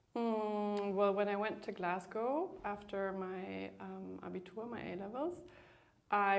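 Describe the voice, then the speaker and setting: Heard with audible room echo, a woman speaks at medium pitch with fairly even intonation. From Germany (Bremen), bilingual with Northern Irish mother. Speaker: museum curator and deputy director. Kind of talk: interview. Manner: hesitant, with fillers.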